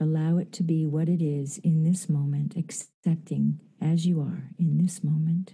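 With hardly any pauses, a woman talks at a fairly slow pace in a fairly low, somewhat breathy voice whose dark, mellow, soothing, gentle tone stays monotone and flat. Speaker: actress and Reiki master. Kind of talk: guided meditation. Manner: slow, soothing, gentle.

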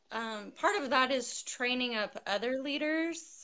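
With a bright, sharp tone and an American accent, the raised, projected voice moves at a very slow pace. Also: woman. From California, western US. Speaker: girls' sports coach. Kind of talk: interview on live video stream.

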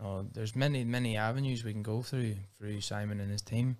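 With a Northern Irish accent, a man talks at a fairly quick pace and medium pitch. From Northern Ireland, Belfast. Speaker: professional MMA fighter. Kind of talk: casual interview.

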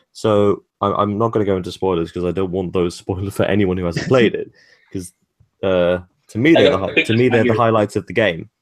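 A man with a British accent speaks at a moderate pace in a fairly low pitch, with ordinary pitch variation. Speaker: podcast co-host interviewing a game developer.

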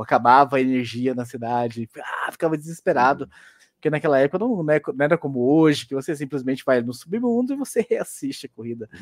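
In a very clean recording with a silent background and a dry, close sound with no echo, a man talks in a normal speaking voice at a fairly high pitch, with lively intonation and a fairly quick pace. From Goiás, Brazil. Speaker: motorsport podcaster. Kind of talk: casual interview.

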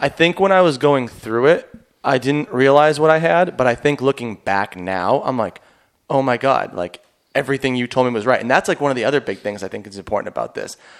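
In an American accent, a man with a normal speaking voice talks at a medium pitch and a fairly quick pace, his intonation lively. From Boston. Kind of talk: casual chat.

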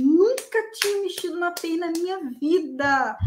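Lively intonation at a fairly slow pace, with audible room echo. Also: woman. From Espírito Santo, Brazil. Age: 30s. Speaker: junior software tester, former student. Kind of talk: live interview, personal story. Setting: online live stream.

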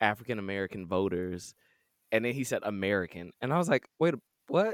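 Very fast and animated, a man's voice makes very wide pitch swings on a very clean recording with a silent background and a dry, close sound with no echo. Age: 20s. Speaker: podcast co-host and actor. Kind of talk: casual chat; scripted segment intro.

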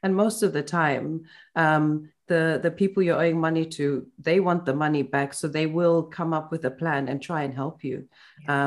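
In a very clean recording with a silent background, a woman with a very deep, low pitch speaks at a moderate pace and fairly even intonation. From Zimbabwe. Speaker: podcast host. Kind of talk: casual interview.

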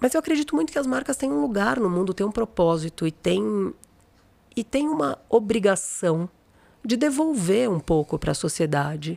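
Very wide pitch swings in a woman's dark, mellow tone. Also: medium pitch for a woman, moderate pace, dry, close sound with no echo. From São Paulo, Brazil. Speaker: creativity consultant, former journalist and art director. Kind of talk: interview conversation. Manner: animated.

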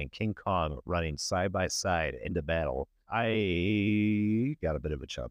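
A man uses an ordinary speaking voice at a fairly low pitch. His intonation is lively. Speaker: podcast host. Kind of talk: casual chat.

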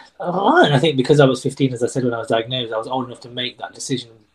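This man's voice is somewhat breathy. Across his speech, the intonation remains fairly even. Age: 30s. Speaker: tree surgeon with Tourette's. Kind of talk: interview conversation. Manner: high pitch on some words.

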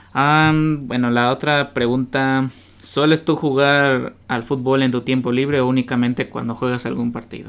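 A man of medium pitch speaks in a flat monotone at a fairly slow pace. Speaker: podcast host. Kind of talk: interview. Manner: halting.

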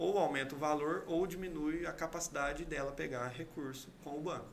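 Audible room echo surrounds the voice. It moves at a moderate pace with ordinary pitch variation. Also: man. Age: 30s. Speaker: civil engineer and builder. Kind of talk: interview.

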